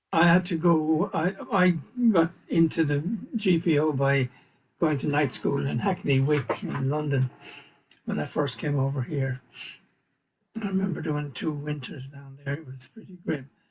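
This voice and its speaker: A somewhat breathy man with an Irish accent, fairly high pitch and ordinary pitch variation, at a fairly slow pace with long, frequent pauses. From Ireland, Kilkenny. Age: 80s+. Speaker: Irish community leader. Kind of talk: casual interview.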